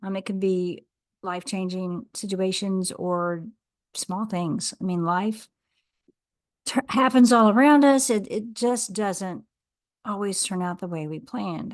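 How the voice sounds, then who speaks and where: A woman's medium-pitched voice at a fairly slow pace, with ordinary pitch variation, long, frequent pauses and a quiet background. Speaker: podcast host. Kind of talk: podcast conversation.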